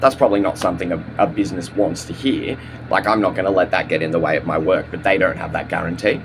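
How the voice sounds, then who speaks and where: A man speaks with ordinary pitch variation. Noticeable background noise sits behind him. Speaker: vlogger. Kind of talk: casual monologue vlog. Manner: halting, many fillers and repeats.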